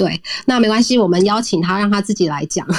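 A woman speaks with ordinary pitch variation. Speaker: podcast co-host. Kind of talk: casual interview chat. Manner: putting on a refined, poised tone.

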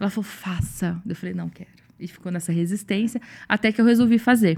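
This woman talks at a fairly quick pace in a medium pitch, sounding somewhat breathy. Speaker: bank clerk and consciousness facilitator. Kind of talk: casual chat.

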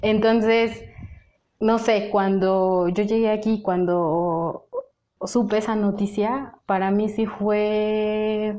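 Very slowly and in monotone, flat intonation, a woman with a fairly high voice speaks at very even loudness with audible room echo. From Mexico. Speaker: humanitarian aid worker. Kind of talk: interview. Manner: hesitant, many fillers and repetitions.

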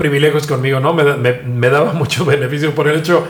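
The speech moves at a moderate pace with fairly even intonation, audible room echo and noticeable background noise. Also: man. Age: 50s. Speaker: journalist and digital media founder. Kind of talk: interview.

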